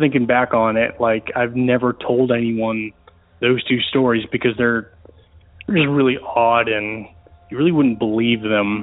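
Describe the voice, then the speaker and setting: A man with a plain, everyday voice and an American accent, medium pitch, fairly even intonation and a fairly slow pace. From US South (Georgia and Florida). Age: 30s. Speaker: caller. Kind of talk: recorded voicemail story.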